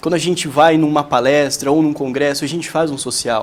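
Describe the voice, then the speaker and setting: Keeping a moderate pace, a man speaks with a fairly high pitch. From Brazil, São Paulo state. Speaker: young entrepreneur. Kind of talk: tv interview. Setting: tv studio. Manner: hesitant, many fillers.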